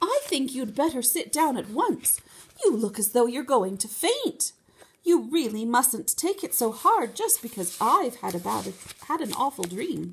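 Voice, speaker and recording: A woman uses a put-on character voice, pitched high. Her pitch swings very widely at a moderate pace. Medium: read story. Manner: refined, proper.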